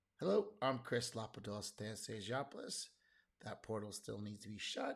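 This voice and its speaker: At a moderate pace, a man speaks in a somewhat breathy voice of medium pitch with fairly even intonation. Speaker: political commentary youtuber. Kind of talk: casual commentary. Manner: halting, many fillers.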